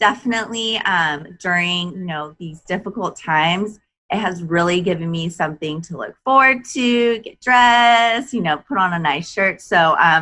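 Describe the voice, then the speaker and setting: A woman's normal speaking voice at medium pitch, moderate in pace with hardly any pauses, lively intonation and big swings in loudness. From Japan, moved to US in early teens. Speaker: skincare company co-founder. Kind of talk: interview.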